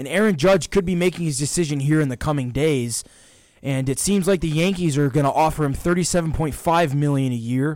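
A man with an American accent speaks at a fairly quick pace. He has an unremarkable speaking voice with a fairly high pitch and ordinary pitch variation. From Georgia, US South. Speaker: sports podcast co-host. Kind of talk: casual sports talk.

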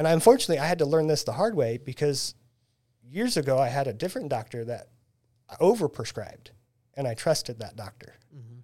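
A man with an American accent, fairly high-pitched and dark, mellow in tone, at a very fast pace with lively intonation, long, frequent pauses and big swings in loudness. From Central Illinois, US Midwest. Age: 40s. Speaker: band photographer. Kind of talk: casual chat.

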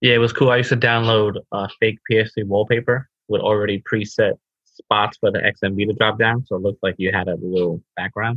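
Fairly quick delivery in an unremarkable speaking voice, the intonation fairly even. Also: man, fairly low pitch for a man. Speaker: co-host. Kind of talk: casual chat.

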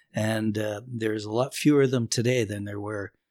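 An unremarkable speaking voice from a man, fairly low-pitched and fairly quick, with fairly even intonation, on a very clean recording with a silent background. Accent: Canadian. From Northern Ontario, Canada. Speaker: musician and bandleader. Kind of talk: casual chat.

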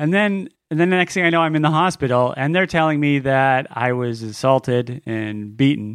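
A man's fairly high-pitched, ordinary speaking voice at a moderate pace, with lively intonation and hardly any pauses. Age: 40s. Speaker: comedic character guest, extreme traveler. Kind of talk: comedic storytelling.

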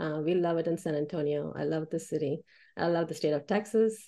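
Speaking at a moderate pace, a woman with an American accent has a dark, mellow tone. The background is quiet. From India (Chennai) then Oklahoma. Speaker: web marketing business owner. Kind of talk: speech to networking group.

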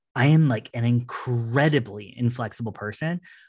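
A somewhat breathy man at medium pitch with ordinary pitch variation, against a quiet background. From Newfoundland, Canada. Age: 30s. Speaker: retired drag performer and internet artist. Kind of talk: casual chat.

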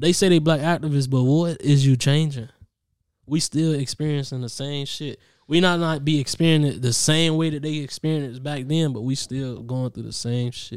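Speaking at a moderate pace, a man uses a fairly high pitch with fairly even intonation. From US Midwest. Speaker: musician. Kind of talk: casual chat. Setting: studio.

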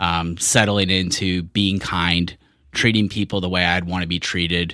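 On a very clean recording with a silent background, a man with a very deep, low pitch talks at a moderate pace in a bright, sharp tone. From Richmond, Virginia. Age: 40s. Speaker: event director. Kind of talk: casual chat.

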